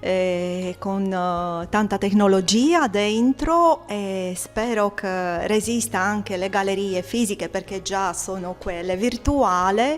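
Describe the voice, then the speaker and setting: Music plays in the background as a woman speaks very slowly in a Romanian accent. Her pitch is medium with ordinary variation. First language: Romanian (speaking Italian). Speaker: artist, poet and gallery owner. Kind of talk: interview; declaiming prepared text. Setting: art exhibition opening. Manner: halting with fillers.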